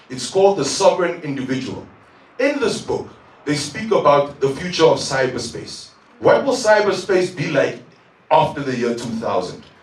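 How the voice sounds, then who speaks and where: There is audible room echo and noticeable background noise as a man talks at a moderate pace. His voice is fairly high, with very wide pitch swings. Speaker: tech entrepreneur. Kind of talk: conference talk. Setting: stage with audience.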